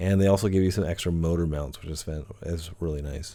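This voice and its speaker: A man's dark, mellow tone moves at a fairly quick pace. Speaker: hobby product reviewer. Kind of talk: product review video. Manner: casual with many fillers; fast.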